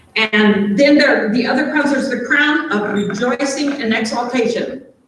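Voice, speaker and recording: A moderate pace and lively intonation, with audible room echo around the voice. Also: woman. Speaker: pastor. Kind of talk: sermon.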